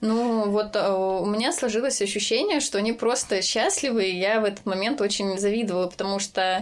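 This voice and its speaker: A woman's plain, everyday voice, fairly high in pitch, at a moderate pace with ordinary pitch variation, very even loudness and hardly any pauses. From Voronezh region, Russia. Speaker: design team lead. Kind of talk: casual interview chat.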